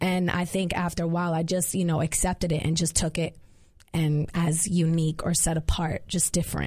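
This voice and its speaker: Speaking at a fairly quick pace with an American accent, a woman uses a fairly low, somewhat breathy voice with flat, monotone intonation and very even loudness. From Queens, New York City. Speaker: gospel singer. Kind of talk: casual interview chat. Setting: studio.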